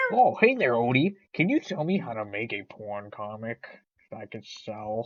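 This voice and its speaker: Low-pitched and delivered at a moderate pace, this is a put-on character voice. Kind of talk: comic overacting. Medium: fan dub. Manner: smug, sarcastic.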